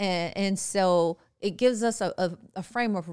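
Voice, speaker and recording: A woman is speaking at medium pitch. Her pitch variation is ordinary. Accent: New York. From New York City, the Bronx. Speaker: podcast co-host, business owner. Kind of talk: casual chat. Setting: studio in the Bronx.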